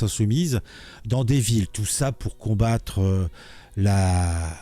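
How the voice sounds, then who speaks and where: Music in the background under a man talking at a very slow pace. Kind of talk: political commentary. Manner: casual, hesitant.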